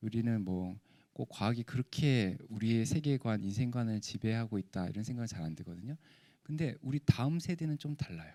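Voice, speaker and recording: This man's voice has a dark, mellow tone and lively intonation. He keeps a moderate pace on a very clean recording with a silent background. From South Korea, Gyeongsang (Pohang). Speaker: professor. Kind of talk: lecture.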